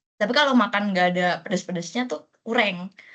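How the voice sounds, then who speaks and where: In a Bekasi accent, a woman speaks at a moderate pace. Her pitch is medium with ordinary variation. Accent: Bekasi-sounding Jakarta-area. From Merauke, Papua, Indonesia. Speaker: new university student. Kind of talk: casual peer interview.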